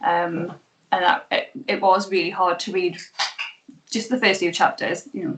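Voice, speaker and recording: A woman with a strong Geordie accent at a moderate pace. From northern England, Newcastle (Geordie). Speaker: author's sister, interviewer. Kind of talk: interview. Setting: video call.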